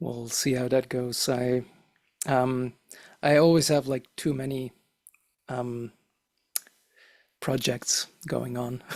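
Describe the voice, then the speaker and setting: A man with a non-native accent speaks at a medium pitch in a monotone, flat way. His pace is very slow, with long, frequent pauses. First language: not English. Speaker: physicist and teacher. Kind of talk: casual chat.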